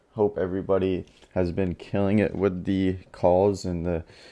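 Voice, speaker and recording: A man's fairly low voice, dark and mellow in tone, with monotone, flat intonation and a fairly slow pace. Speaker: real estate wholesaler. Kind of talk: casual talk to camera.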